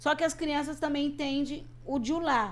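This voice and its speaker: Vocal fry runs through this woman's voice. Her pace is moderate. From Brazil. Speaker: missionary. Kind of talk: interview.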